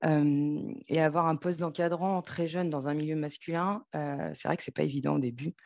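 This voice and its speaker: Fairly even intonation in a very deep, low female voice. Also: moderate pace. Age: 30s. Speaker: telecom project manager. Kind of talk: interview. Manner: halting, many fillers.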